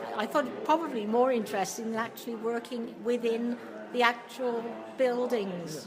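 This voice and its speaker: Over noticeable background noise and audible room echo, a woman with a fairly high pitch speaks at a moderate pace with ordinary pitch variation. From England, Hereford. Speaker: retired factory office worker. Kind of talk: oral history interview.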